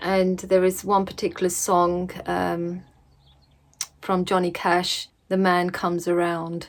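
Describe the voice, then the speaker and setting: Speaking very slowly in an English accent, a woman keeps a fairly low pitch and a monotone, flat intonation. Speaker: religious vlogger. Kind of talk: casual vlog talk. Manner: hesitant, many fillers.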